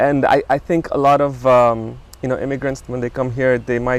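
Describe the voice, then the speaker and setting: A man with an East African accent speaks at a medium pitch and moderate pace, his intonation flat and monotone. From Tanzania (Dar es Salaam), moved to US at 16. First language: Swahili. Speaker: business co-founder and show host. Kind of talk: casual interview chat. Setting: outdoors in a backyard.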